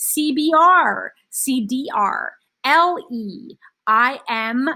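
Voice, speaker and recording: A woman with a high pitch projects a raised voice in a bright, sharp, animated tone, her pitch swinging very widely. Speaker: teacher. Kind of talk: lecture.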